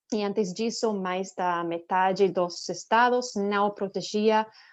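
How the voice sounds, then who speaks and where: A woman with a non-native accent speaks at a very slow pace, her intonation fairly even. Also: quiet background. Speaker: nonprofit director. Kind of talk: panel talk. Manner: halting.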